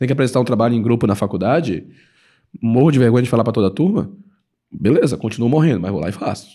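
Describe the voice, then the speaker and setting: Speaking at a very fast pace yet with long, frequent pauses, a man has a dark, mellow tone in a very clean recording with a silent background. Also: medium pitch for a man. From Belém, Pará, northern Brazil. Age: 30s. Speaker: credit card educator, former engineer. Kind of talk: podcast interview. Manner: casual, filler-heavy speech.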